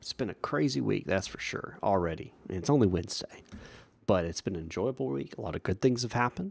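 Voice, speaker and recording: A man's very deep, low voice with vocal fry and very wide pitch swings, very fast, in a very clean, silent recording with a dry, close sound and no echo. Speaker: streamer playing air traffic controller. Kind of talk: live stream casual chat.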